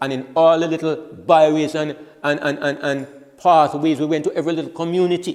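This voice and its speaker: A man talking at a fairly quick pace, with noticeable background noise. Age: 70s. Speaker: preacher. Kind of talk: sermon. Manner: halting.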